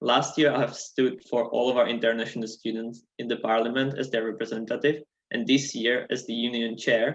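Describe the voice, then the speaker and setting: With a non-native accent, a man speaks fairly quickly at medium pitch in a monotone, flat intonation. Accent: noticeable non-native English. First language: not English. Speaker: student election candidate. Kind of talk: debate opening statement.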